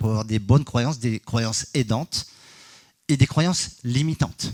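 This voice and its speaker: A man's medium-pitched voice, with ordinary pitch variation and a fairly slow pace. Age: 60s. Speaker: energy healer and geobiologist. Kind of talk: conference talk. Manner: hesitant, many fillers.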